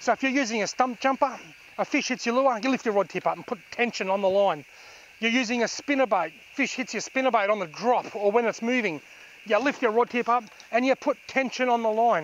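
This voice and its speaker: A man talks at a fairly quick pace with an extremely high pitch and ordinary pitch variation. The sound is dry with no echo, over light background noise. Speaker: fishing instructor. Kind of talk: tutorial. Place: waterside.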